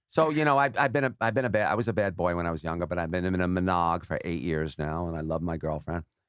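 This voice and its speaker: A man's very deep, low voice with an American accent, very fast pace and lively intonation. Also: hardly any pauses. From New York. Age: 60s. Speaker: social media personality and gambler. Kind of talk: casual podcast interview.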